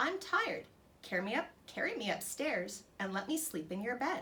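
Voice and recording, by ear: A croaky, put-on character voice. Its pitch swings very widely. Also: woman, high pitch for a woman, moderate pace.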